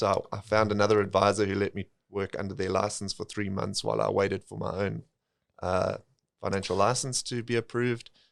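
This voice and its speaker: With a South African accent, a man speaks at a fairly quick pace with fairly even intonation and vocal fry, on a very clean recording with a silent background. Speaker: financial planner. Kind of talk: podcast interview.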